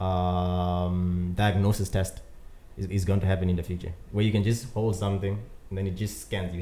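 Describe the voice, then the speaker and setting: Talking at a very fast pace with a non-native accent, a man keeps a fairly low pitch and a monotone, flat intonation. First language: not English. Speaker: podcast co-host. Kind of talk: casual chat.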